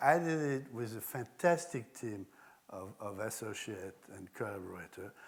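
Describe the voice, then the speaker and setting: A man with a French accent, medium pitch, lively intonation and moderate pace. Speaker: architect and designer. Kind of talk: public talk with slides.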